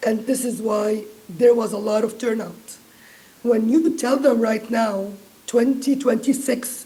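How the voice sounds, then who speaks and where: Amid audible room echo, a woman with a dark, mellow tone and fairly high pitch speaks at a fairly slow pace with fairly even intonation. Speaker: diaspora advocacy group member. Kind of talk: panel discussion.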